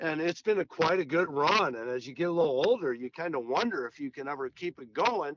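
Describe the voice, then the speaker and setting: A man with an American accent talks at a fairly quick pace, with hardly any pauses, in a fairly high pitch and a plain, everyday voice. His intonation is lively, and his loudness swings widely. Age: 60s. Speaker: golf pro and teacher. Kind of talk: casual interview.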